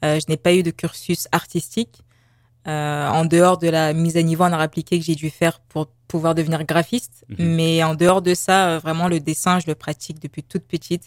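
A woman talks at a moderate pace in a plain, everyday voice, fairly low in pitch with fairly even intonation. The sound is dry and close, with no echo. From Paris, France. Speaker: visual artist and graphic designer. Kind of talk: radio interview.

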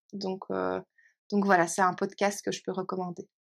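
On a very clean recording with a silent background, a woman speaks at a medium pitch with a dry, close sound and no echo. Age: 30s. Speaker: teacher and trainer. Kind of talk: interview.

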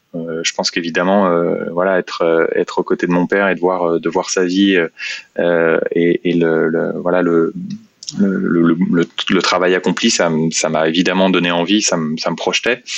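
Noticeable background noise accompanies a man with a very deep, low pitch. He speaks at a fairly slow pace with monotone, flat intonation. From France, Seine-et-Marne (Meaux). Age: 30s. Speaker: company executive. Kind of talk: interview. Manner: halting, many fillers and repetitions.

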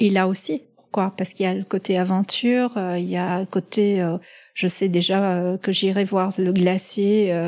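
In a very clean recording with a silent background, a woman talks at medium pitch in a dark, mellow tone with fairly even intonation. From Middle East. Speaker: pharmaceutical executive. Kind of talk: interview. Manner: halting.

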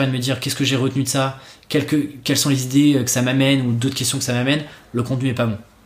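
A man of medium pitch is heard with audible room echo. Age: 20s. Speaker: copywriter and podcaster. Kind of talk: casual chat.

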